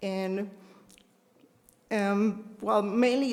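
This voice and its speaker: The voice shows ordinary pitch variation over noticeable background noise. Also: woman. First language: not English. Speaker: resident speaking at public hearing. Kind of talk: public comment. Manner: halting.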